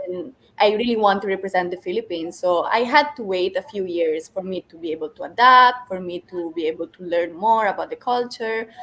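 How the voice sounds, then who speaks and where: Over noticeable background noise, a woman with an Italian accent talks at a fairly quick pace with hardly any pauses, medium pitch, ordinary pitch variation and big swings in loudness. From Italy. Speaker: beauty pageant contestant. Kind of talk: interview.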